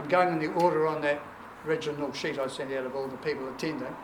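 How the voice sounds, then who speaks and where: A man with a New Zealand accent speaks at a fairly high pitch. Noticeable background noise and audible room echo surround him. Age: 70s. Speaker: family reunion organiser, retired teacher. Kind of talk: welcome speech to family gathering.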